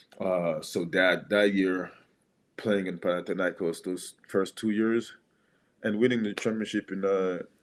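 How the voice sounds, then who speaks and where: In a French accent, a man with a fairly low pitch speaks fairly slowly in a flat, monotone way, on a very clean recording with a silent background. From Gabon. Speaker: former basketball player. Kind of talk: podcast interview. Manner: halting, with self-corrections.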